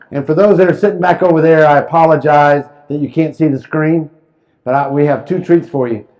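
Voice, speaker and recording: A man speaks fairly quickly in a fairly high pitch with ordinary pitch variation. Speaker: real estate professor. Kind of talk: lecture. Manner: fast; animated.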